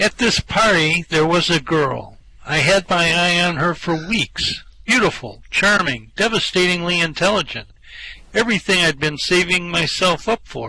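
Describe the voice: Using a put-on character voice, a man speaks at a moderate pace with a high pitch, lively intonation and a bright, sharp tone. A slightly husky edge and vocal fry run through it.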